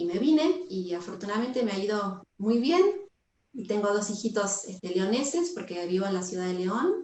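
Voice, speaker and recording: Her somewhat breathy voice, carried with audible room echo, has lively intonation as the woman speaks at a moderate pace. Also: medium pitch for a woman. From Argentina, Buenos Aires. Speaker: yoga teacher. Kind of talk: casual chat. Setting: video call.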